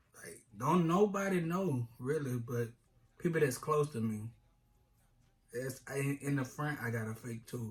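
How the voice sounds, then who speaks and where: Somewhat breathy and fairly slow, the voice has lively intonation, big swings in loudness, and long, frequent pauses. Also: man, fairly high pitch for a man. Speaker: YouTube couple vlogger. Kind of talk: casual chat. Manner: slightly impeded speech from retainer and lip injury.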